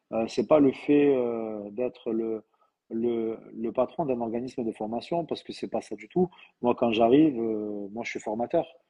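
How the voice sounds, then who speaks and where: Speaking at a fairly slow pace, a man with a southern French accent holds a medium pitch. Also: big swings in loudness. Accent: southern French, sing-song. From southern France. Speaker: trainer and training company owner. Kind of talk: live interview. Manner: hesitant, many fillers.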